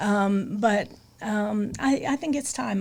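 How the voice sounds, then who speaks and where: With ordinary pitch variation, a woman talks at a medium pitch in a somewhat breathy way. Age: 70s. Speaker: state politician. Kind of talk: casual interview chat.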